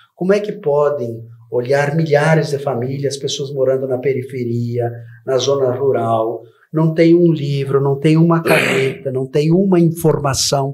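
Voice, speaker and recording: A man's somewhat breathy voice moves at a fairly slow pace, its pitch varying in an ordinary way. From southern Brazil (Rio Grande do Sul). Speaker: educator and political candidate. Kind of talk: TV interview. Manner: formal.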